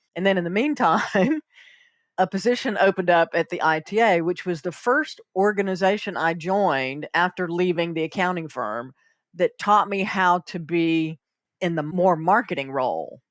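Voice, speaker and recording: With a Southern US accent, the speaker moves at a moderate pace with ordinary pitch variation. The sound is dry and close with no echo, on a very clean recording with a silent background. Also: woman, fairly low pitch for a woman. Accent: Southern US, noticeable. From US South, South Carolina. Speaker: accountant and consultant. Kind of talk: podcast interview.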